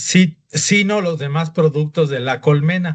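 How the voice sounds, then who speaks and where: A man with a fairly high pitch talks very slowly, his intonation fairly even. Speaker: doctor teaching a class. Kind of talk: lecture.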